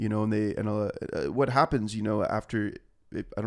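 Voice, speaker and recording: A man with a Southern Californian accent at a very fast pace, on a very clean recording with a silent background. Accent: Southern California American. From Orange County, California. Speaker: musician. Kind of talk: casual chat.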